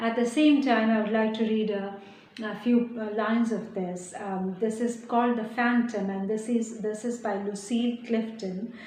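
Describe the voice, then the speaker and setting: A woman's fairly high voice in an Indian accent, fairly slow and fairly even in intonation, with noticeable background noise and audible room echo. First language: Hindi. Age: young. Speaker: poet. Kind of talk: interview. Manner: halting.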